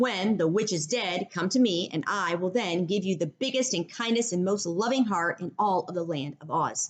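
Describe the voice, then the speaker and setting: A female-sounding put-on character voice comes across as gruff. It sits at a medium pitch and moves at a moderate pace. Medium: read story.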